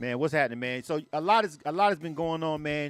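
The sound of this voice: Fast and fairly high-pitched, a man talks.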